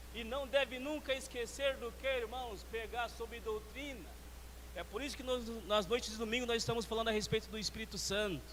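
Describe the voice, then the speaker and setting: With noticeable background noise and audible room echo, a man speaks at a fairly quick pace. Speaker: church elder trainer / preacher. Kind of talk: sermon-style teaching talk. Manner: fast.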